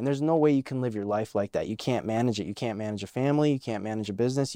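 In a dry, close recording with no echo, a man talks at medium pitch with ordinary pitch variation. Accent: American. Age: 20s. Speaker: podcast host. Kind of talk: casual chat.

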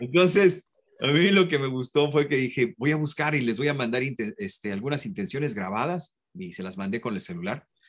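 A man speaks at a medium pitch with vocal fry. His pace is moderate. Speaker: voice actor and commercial announcer. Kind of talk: interview.

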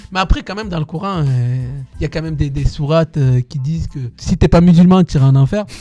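A man speaks at a fairly quick pace, his pitch fairly high with ordinary variation. The sound is dry and close, with no echo. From southwestern France, Tarbes. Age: 40s. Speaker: dancer. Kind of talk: interview. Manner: halting.

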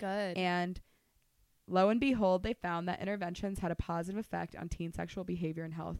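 At a fairly quick pace, a woman speaks in a fairly low pitch. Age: 20s. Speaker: podcast co-host. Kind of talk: casual chat. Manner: loud; animated.

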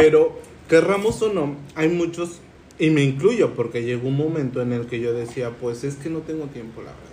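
Audible room echo and noticeable background noise accompany a man speaking at a moderate pace. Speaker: podcast host. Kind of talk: casual chat. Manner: halting.

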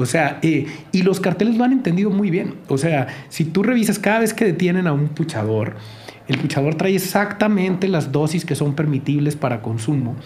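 Despite audible room echo, a man's fairly high voice holds very even loudness, moving at a moderate pace with lively intonation. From Sinaloa coast, Mexico. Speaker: journalist. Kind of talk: casual chat.

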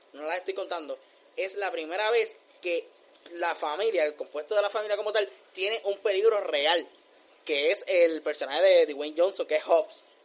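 Animated in tone, a man speaks at a fairly quick pace with a high pitch and ordinary pitch variation. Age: 20s. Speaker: film podcast guest. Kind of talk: casual chat.

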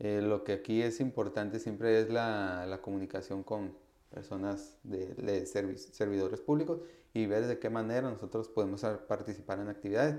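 At a moderate pace, a man with a fairly low pitch and a dark, mellow tone speaks with ordinary pitch variation. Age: 20s. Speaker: university student and youth activist. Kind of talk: interview. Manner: hesitant, many fillers.

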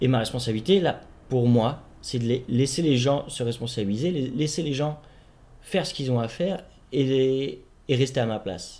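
A man with a dark, mellow tone and medium pitch speaks at a moderate pace with ordinary pitch variation, on a very clean recording with a silent background. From Paris, France. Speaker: host's partner. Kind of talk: casual chat.

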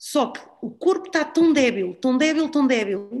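A woman with a high voice speaks very slowly, her pitch swinging very widely. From Portugal, raised in Lisbon. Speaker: CrossFit gym owner and fitness trainer. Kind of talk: casual interview chat.

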